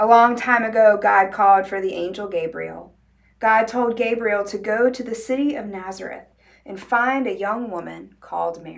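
A woman's voice at a moderate pace, with ordinary pitch variation. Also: big swings in loudness. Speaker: librarian or storyteller. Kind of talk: story reading to children. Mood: warm, gentle, cheerful. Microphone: lapel.

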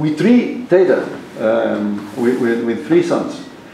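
A man with a Portuguese accent speaks at a moderate pace with very wide pitch swings. There is audible room echo and light background noise. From Portugal. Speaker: professor. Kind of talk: lecture. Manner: halting. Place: classroom. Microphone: camera far.

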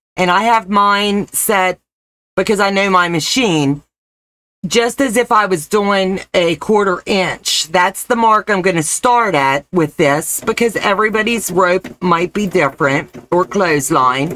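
A woman's bright, sharp, warm tone carries lively intonation. She speaks at a fairly slow pace with very even loudness. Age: 50s. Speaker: sewing and crafts channel host. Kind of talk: live-stream crafting tutorial. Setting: live stream. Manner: warm and chatty. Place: home room. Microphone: webcam.

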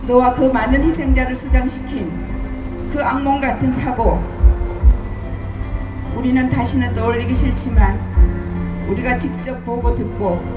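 A woman's voice with long, frequent pauses over clear music in the background. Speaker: bereaved mother of a disaster victim. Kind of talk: letter reading at a memorial rally. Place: stage.

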